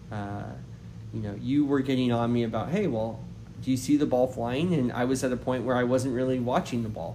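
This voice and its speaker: Heard with audible room echo, a man of medium pitch speaks with fairly even intonation. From Canada, Maritimes. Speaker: golf coach. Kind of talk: interview.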